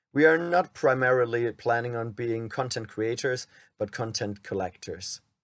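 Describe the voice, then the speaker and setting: A man speaks with a German accent at a medium pitch and a moderate pace. His pitch varies in an ordinary way, and the background is quiet. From Germany. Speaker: men's rights activist, YouTuber. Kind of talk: reading a script aloud.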